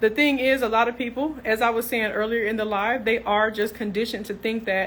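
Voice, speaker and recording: In a Tennessee accent, a woman speaks in a fairly high voice. Her pace is fairly quick. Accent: Tennessee Southern. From US South, Tennessee (Clarksville). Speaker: nurse entrepreneur, business coach. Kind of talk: live stream chat with viewers. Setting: live social media stream. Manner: animated, casual.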